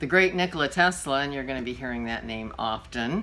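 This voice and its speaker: A woman's very deep, low voice, bright and sharp in tone, with ordinary pitch variation. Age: 60s. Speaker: vlogger and podcaster. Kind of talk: storytelling monologue. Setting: at home. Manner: casual, with fillers.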